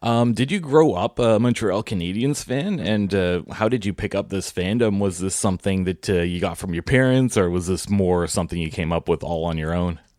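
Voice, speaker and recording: Over noticeable background noise, a man with a very deep, low voice speaks at a fairly quick pace with hardly any pauses and ordinary pitch variation. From Ottawa area, Canada. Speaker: podcast interviewer. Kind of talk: casual interview.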